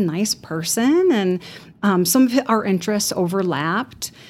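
Against noticeable background noise, a woman with a slight Chicago accent speaks with lively intonation. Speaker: death doula and massage therapist. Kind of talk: casual interview.

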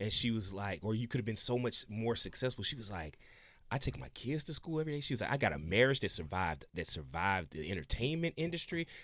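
The speech is very fast, with a bright, sharp tone, vocal fry and very wide pitch swings. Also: man, medium pitch for a man, very clean recording, silent background. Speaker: radio show guest. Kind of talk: casual chat.

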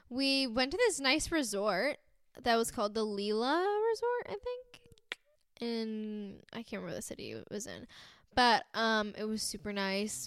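An animated woman with an American accent, at a fairly slow pace, with big swings in loudness. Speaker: podcast host. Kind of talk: casual chat. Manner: animated, giggly.

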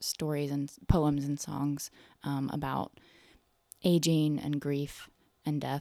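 With an American accent, a woman speaks at a very slow pace in a dark, mellow tone on a very clean recording with a silent background. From US South, North Carolina. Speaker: singer-songwriter and storyteller. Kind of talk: casual interview.

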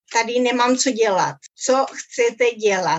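The speaker talks at a very slow pace with a slight Spanish accent and ordinary pitch variation. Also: woman. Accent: rusty non-native Czech, Spanish tinge. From Czechoslovakia (Ostrava), Uruguayan family. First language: Spanish (speaking Czech). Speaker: interviewee, emigrant. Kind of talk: interview. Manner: halting.

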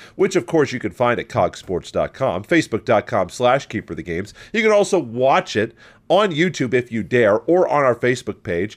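Speaking at a moderate pace with an American accent, a man shows vocal fry and very wide pitch swings. The recording is very clean, with a silent background. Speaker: sports podcast host. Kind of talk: casual chat.

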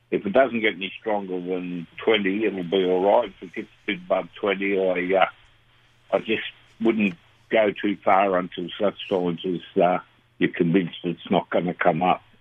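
A man with an Australian accent has a very deep, low pitch. He talks fairly slowly in a monotone, flat intonation. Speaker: local fishing reporter. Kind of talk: casual chat.

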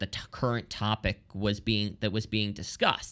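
With an American accent, a man of medium pitch speaks at a moderate pace in a bright, sharp tone. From Lancaster, Pennsylvania. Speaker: associate editor, media critic. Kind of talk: casual political commentary.

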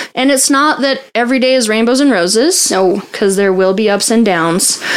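Noticeable background noise and audible room echo around a woman's fairly high voice. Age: 30s. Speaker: podcast host, abuse survivor advocate. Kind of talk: casual interview.

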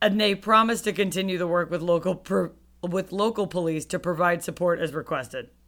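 With an ordinary speaking voice, a woman talks at a fairly quick pace in a fairly low pitch with ordinary pitch variation. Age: 30s. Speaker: true crime podcast co-host. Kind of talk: casual chat; true crime storytelling.

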